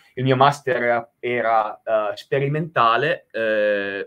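The man's voice sits at a medium pitch with a bright, sharp tone. His intonation is fairly even. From Italy. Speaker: nuclear engineer and professor. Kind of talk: technical presentation. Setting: video call. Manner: halting, many filler sounds and repetitions. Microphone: headset.

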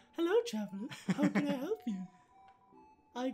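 Faint music plays behind a put-on character voice pitched fairly high and delivered at a fairly slow pace. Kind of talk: friendly shopkeeper greeting.

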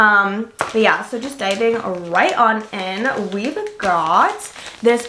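A woman speaks at a very slow pace with ordinary pitch variation. Noticeable background noise sits behind her. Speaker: lifestyle vlogger. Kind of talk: casual haul review chat. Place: home room.

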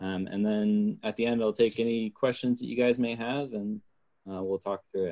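Man with a dark, mellow tone at medium pitch, fairly even intonation, and a moderate pace over a quiet background. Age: 20s. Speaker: aircraft design engineer; guest. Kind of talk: presentation talk. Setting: video call. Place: home room. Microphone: webcam.

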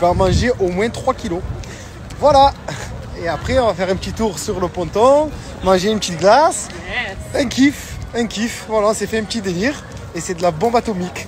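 Faint music plays in the background as a man speaks at a moderate pace with long, frequent pauses in a dry sound with no echo. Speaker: vlogger. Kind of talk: casual vlog chat. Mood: excited, cheerful. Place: street. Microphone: phone near.

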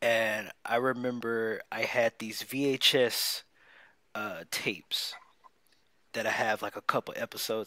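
A man's bright, sharp voice at medium pitch, with fairly even intonation, dry sound with no echo and a quiet background. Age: 20s. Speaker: podcast co-host. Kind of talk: casual chat. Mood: nostalgic, enthusiastic. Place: home room.

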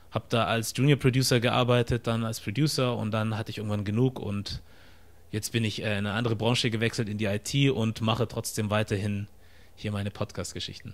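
The delivery is monotone and flat. It moves at a fairly quick pace. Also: man. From Germany, near Stuttgart (Ostfildern); Germany. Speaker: content creator and podcast host; content creator, podcast host. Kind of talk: casual interview. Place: home room. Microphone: studio mic.

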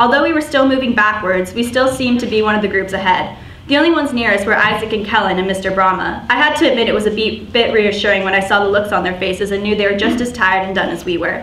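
A woman talks very fast, with hardly any pauses and ordinary pitch variation. There is audible room echo and light background noise. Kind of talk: prepared speech, personal story. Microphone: podium.

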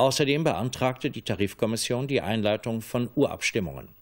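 A man at a moderate pace with ordinary pitch variation, over a quiet background. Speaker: television news anchor. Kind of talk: television news reading. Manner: formal, measured. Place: studio.

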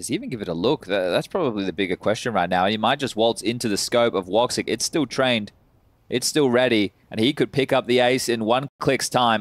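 A man's ordinary speaking voice at a medium pitch and fairly quick pace with ordinary pitch variation, dry and close with no echo, on a very clean recording with a silent background. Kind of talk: esports commentary. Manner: rapid-fire, play-by-play, clipped and fluent.

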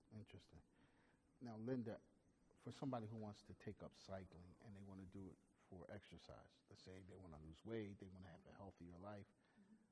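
The tone is dark and mellow, and somewhat breathy. Delivery comes at a moderate pace with ordinary pitch variation. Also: man. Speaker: talk show host. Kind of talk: interview.

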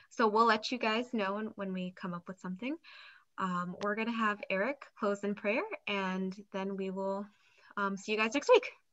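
In a quiet background, a woman's fairly even intonation unfolds at a moderate speed. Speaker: discussion moderator. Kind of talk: prayer and moderation. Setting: video call. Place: home room. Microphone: video call.

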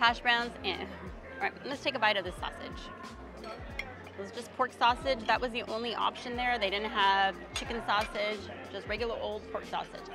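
A woman with fairly even intonation over clear background music, the sound dry with no echo. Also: moderate pace. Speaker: food vlogger. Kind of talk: casual food review chat. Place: hall. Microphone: lapel.

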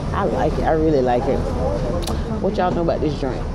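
Loud background noise sits under speech at a fairly quick pace. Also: woman. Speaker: travel vlogger. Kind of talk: casual vlog chat. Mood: happy, excited to go home. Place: bus. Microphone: phone near.

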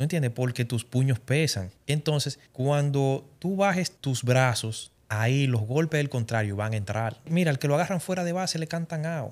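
This man speaks at a fairly high pitch and a moderate pace. His intonation is lively. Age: 30s. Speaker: life advice guest; guest. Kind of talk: casual chat. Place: studio. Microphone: studio mic.

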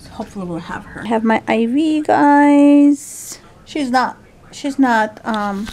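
A woman with a high pitch, talking at a fairly slow pace, her intonation lively and her loudness swinging widely. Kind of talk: casual vlog chat. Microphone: phone near.

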